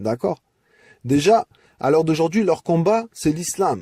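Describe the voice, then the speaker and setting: A man's dark, mellow tone with lively intonation at a fairly slow pace, dry and close with no echo. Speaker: religious message speaker. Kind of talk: audio message to community. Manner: impassioned.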